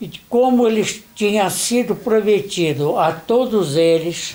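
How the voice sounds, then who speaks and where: A man is speaking. His intonation is lively. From Brazil, Nova Friburgo. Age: 70s. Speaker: interviewee, son of a German factory worker. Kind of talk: interview.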